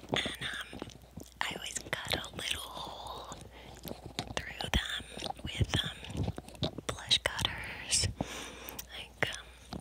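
A woman is heard against loud background noise. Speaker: ASMR creator. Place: home room. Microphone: lapel.

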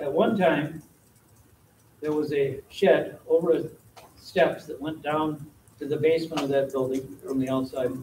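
Audible room echo and light background noise accompany a man at a moderate pace. He sounds somewhat breathy, with fairly even intonation. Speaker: council member. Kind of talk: meeting discussion. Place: meeting room. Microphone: podium.

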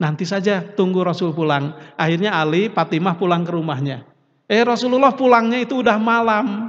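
Lively intonation marks this man's high-pitched voice. The background is quiet. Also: fairly quick pace. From West Java. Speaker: Islamic preacher. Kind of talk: sermon. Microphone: podium.

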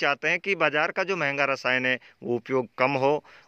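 A man's bright, sharp tone at a moderate pace, dry with no echo, over a quiet background. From Rajasthan, Jodhpur district; Rajasthan, India. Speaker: farming video host. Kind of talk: field interview on a farm. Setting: outdoors in an orchard. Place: farm. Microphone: phone near.

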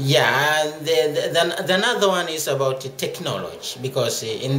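A man talks fairly slowly while noticeable noise persists in the background. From Tanzania. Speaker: water resources researcher. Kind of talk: interview. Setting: conference venue. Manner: halting. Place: hall. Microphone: phone near.

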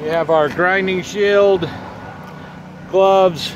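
The sound is dry with no echo, with noticeable background noise and a fairly slow pace. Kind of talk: tutorial. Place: street.

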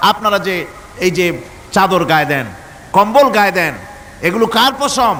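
A man with a high pitch talks with lively intonation against noticeable background noise. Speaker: Islamic preacher. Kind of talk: religious sermon to a live audience.

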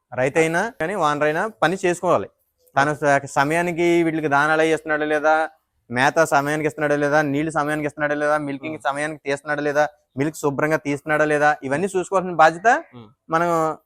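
A man speaks with fairly even intonation in a dry, close sound with no echo. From Andhra Pradesh, East Godavari. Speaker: dairy farmer. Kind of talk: interview.

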